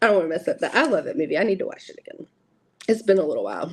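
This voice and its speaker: A woman talks with an American accent. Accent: Southern US, stronger than usual. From US South. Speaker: tarot content creator. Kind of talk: live stream unboxing chat. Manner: casual, chatty.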